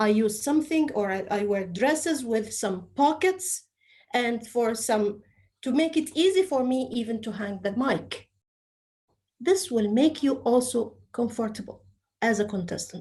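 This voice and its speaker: Speaking slowly with a dark, mellow tone, a woman with an Egyptian accent uses a fairly high pitch and lively intonation. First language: Arabic. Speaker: public speaking trainer. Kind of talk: training session talk.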